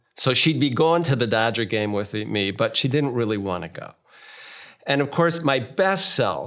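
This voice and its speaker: A man talks at a moderate pace in a plain, everyday voice, medium in pitch, with an American accent. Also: lively intonation. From United States. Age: 60s. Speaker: marriage therapist. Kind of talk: interview. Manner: conversational.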